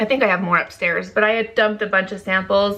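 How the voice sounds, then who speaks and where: A loud woman's voice of medium pitch, bright and sharp in tone, with monotone, flat intonation. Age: 30s. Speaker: beauty vlogger. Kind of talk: casual chat.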